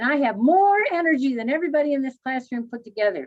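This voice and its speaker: The woman's pitch swings very widely as she talks. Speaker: language teacher presenting at conference. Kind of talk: online conference talk. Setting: video presentation, standing. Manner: energetic.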